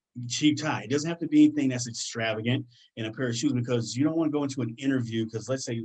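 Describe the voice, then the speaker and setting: A man with an American accent speaks at a very fast pace, his tone excited. The background is quiet. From US Midwest, Detroit, Michigan; Michigan. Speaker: career guest speaker; speaker. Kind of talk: presentation to students. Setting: online video session. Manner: fast, excited delivery. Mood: earnest, encouraging. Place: home room. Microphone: webcam.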